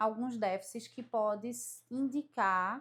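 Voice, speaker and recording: In a very clean recording with a silent background, a woman talks at a fairly high pitch with ordinary pitch variation. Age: 30s. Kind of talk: testimony. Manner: halting.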